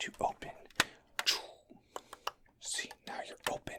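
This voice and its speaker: A whispering man. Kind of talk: ASMR video. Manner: whispered; fast, aggressive, repetitive.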